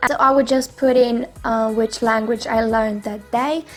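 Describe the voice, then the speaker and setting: A woman speaks with a non-native accent at a fairly high pitch. Music plays in the background. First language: not English. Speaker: YouTuber. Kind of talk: tutorial. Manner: halting.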